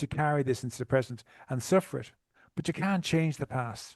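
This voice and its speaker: A man with a fairly high voice talks at a fairly quick pace with ordinary pitch variation, recorded dry and close with no echo. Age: 60s. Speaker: trauma recovery coach. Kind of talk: podcast interview. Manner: halting.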